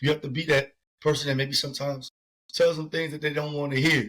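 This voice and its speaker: A man talks very fast with a south Louisiana accent. His pitch is fairly high, with ordinary variation. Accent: south Louisiana US Southern. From Louisiana (Lafayette area, 337). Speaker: sports agent. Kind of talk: podcast interview.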